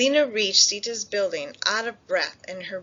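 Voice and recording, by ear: Lively intonation colors this clip of reading aloud in a natural voice.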